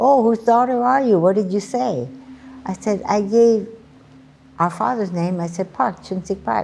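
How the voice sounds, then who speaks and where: A woman speaks with a Hawaiian accent. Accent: Hawaii local English. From Hawaii, Oahu. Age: 80s+. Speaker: elderly storyteller. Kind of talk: personal testimony.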